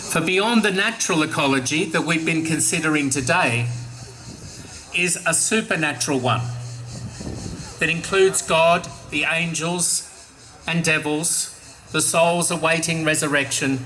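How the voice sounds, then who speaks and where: A fairly high-pitched man at a moderate pace, with ordinary pitch variation, long, frequent pauses, music in the background and audible room echo. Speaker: archbishop. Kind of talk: catechetical talk to young audience.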